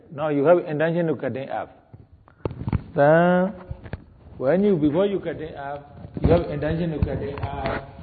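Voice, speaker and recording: A fairly high-pitched man speaks in a calm tone with ordinary pitch variation and long, frequent pauses. Background noise is noticeable. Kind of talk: guided meditation. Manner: slow, calm, deliberate, giving step-by-step instructions with repeated words.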